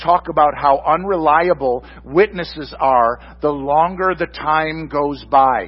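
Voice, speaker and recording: A man with an American accent, ordinary pitch variation, and noticeable background noise. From Michigan. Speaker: pastor. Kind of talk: sermon.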